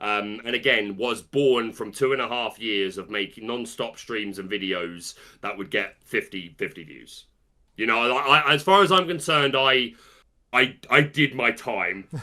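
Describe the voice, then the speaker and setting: A man with a British accent speaks fairly slowly in a bright, sharp tone with big swings in loudness, in a very clean recording with a silent background. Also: medium pitch for a man, lively intonation. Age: 30s. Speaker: trading card game content creator and musical theatre performer. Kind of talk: interview. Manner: halting.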